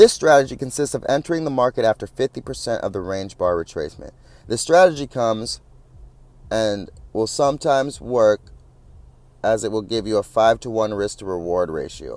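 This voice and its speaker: Lively intonation runs through a man's fairly quick speech, broken by long, frequent pauses. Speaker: trading instructor. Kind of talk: lecture. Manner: fast.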